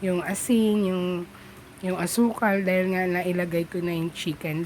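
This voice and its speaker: The delivery is monotone, with flat intonation at a moderate pace. Noticeable background noise runs beneath it. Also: woman. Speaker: home cooking vlogger. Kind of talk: cooking tutorial voiceover. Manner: casual, halting.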